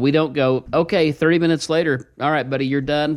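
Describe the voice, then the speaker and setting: A man's fairly high voice in an Ozarks accent, at a fairly quick pace with ordinary pitch variation. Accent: Ozarks Midwestern. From Ozarks, Missouri. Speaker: financial advisor radio host. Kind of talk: radio talk show. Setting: studio.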